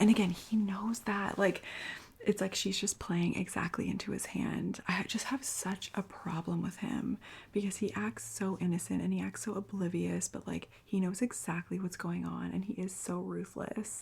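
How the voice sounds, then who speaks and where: Soft-spoken, the speaker is whispering. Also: moderate pace. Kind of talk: ASMR TV recap. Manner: whispered, soft-spoken; casual, chatty.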